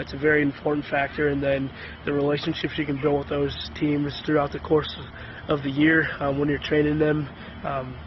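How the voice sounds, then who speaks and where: A man with a fairly high pitch speaks at a moderate pace in a flat, monotone way. Noticeable noise sits in the background. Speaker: strength and conditioning coach. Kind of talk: testimony. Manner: soft-spoken; halting.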